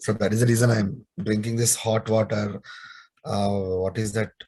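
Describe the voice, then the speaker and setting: The sound is dry and close with no echo as a man speaks at a fairly low pitch. His somewhat breathy voice moves at a moderate pace in a monotone, flat intonation. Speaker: programming instructor. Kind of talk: online lecture. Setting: video call webinar.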